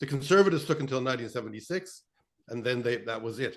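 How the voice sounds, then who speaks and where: Speaking at a very fast pace, a man with a Canadian accent uses a medium pitch. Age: 70s. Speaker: political journalist. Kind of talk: panel discussion. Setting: video call. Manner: halting.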